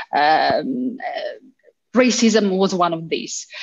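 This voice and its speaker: A woman is speaking. She has an Italian accent. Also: quiet background. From Italy. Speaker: university lecturer. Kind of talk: panel discussion. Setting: video call. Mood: serious, measured. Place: home room. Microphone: video call.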